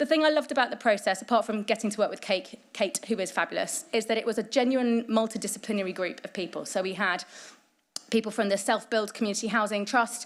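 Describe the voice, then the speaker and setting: Speaking at a very fast pace, a woman is heard on a very clean recording with a silent background. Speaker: housing commission chair and keynote speaker. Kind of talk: conference keynote address.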